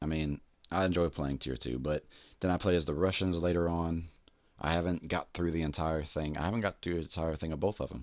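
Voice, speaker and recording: A man with a Southern US accent talks at a fairly quick pace in a very deep, low voice, his intonation fairly even, on a very clean recording with a silent background. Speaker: gaming YouTuber. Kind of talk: gameplay commentary. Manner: casual, rambling with hesitations.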